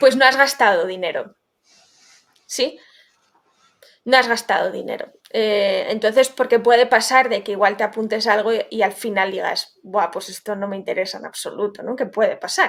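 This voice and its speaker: A woman with a Basque accent and a fairly high pitch speaks at a moderate pace, with ordinary pitch variation and big swings in loudness. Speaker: legal tech founder. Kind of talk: interview.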